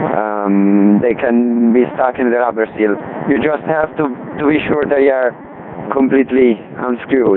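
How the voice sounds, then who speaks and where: A man with a non-native accent at medium pitch and ordinary pitch variation, fairly slow, very even in loudness, over noticeable background noise. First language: not English. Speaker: amateur radio operator. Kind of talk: technical explanation on radio net. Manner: halting, many fillers.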